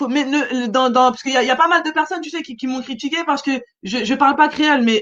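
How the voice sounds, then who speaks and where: Speaking very fast in a high voice, a woman shows ordinary pitch variation and big swings in loudness. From mainland France, Réunionese family. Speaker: radio show host and singer. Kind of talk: radio interview chat. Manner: halting.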